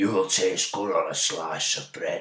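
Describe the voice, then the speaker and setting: Putting on a raspy character voice, a man speaks at a fairly slow pace. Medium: read story.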